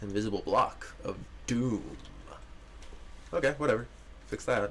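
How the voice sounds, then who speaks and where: A man mumbles his words at a moderate pace. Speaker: game developer livestreamer. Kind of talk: live stream gameplay commentary. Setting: live stream. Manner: mumbling. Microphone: mic a bit quiet.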